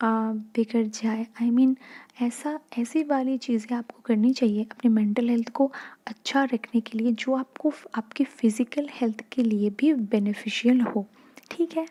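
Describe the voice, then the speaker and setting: A woman speaks softly in a high pitch. Her tone is dark and mellow. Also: fairly even intonation, dry, close sound with no echo. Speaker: ASMR youtuber. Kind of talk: softspoken ASMR talk. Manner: soft-spoken; halting.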